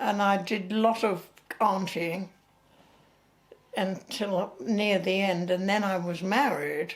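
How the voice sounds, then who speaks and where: In an English accent, a woman speaks at a very slow pace with medium pitch. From England. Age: 90s. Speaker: retired actress. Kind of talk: interview. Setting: at home. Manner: halting.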